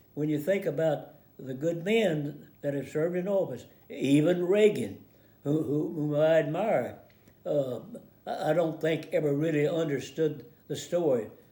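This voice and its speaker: Audible room echo surrounds a man speaking at a moderate pace. His voice is fairly high in pitch. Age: 80s+. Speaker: war veteran. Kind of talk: casual commentary. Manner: halting, many repeated words.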